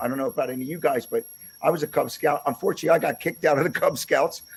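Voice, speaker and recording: The speaker is a man. He talks with a Philadelphia accent. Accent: Philadelphia-area American. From Pennsylvania, US. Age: 60s. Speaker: podcast host, musician. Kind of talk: interview. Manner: halting, many fillers and repeats.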